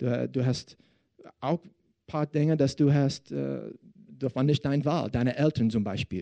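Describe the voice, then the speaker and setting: Recorded with a dry, close sound and no echo, a man in an American accent speaks at a fairly slow pace and fairly high pitch, with a dark, mellow tone and ordinary pitch variation. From Texas. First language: English (speaking German). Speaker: pastor. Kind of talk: sermon. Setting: church service with audience. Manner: halting.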